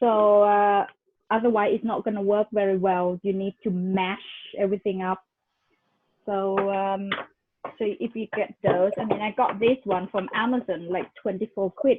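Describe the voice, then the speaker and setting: A woman's monotone, flat delivery with a Thai accent. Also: medium pitch for a woman, moderate pace. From Thailand, moved to England as a youth. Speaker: cooking class host. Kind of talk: casual chat. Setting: video call.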